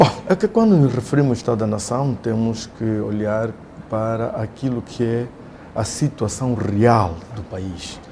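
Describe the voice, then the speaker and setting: Against noticeable background noise, a man speaks fairly slowly at medium pitch with ordinary pitch variation. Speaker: opposition party leader. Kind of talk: interview. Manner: formal.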